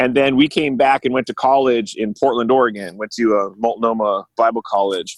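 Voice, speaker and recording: A man talks in a Californian accent. He leaves hardly any pauses. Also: medium pitch for a man, ordinary pitch variation, fairly quick pace. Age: 40s. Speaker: musician and guitar maker. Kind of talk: casual chat. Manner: animated, laughs often.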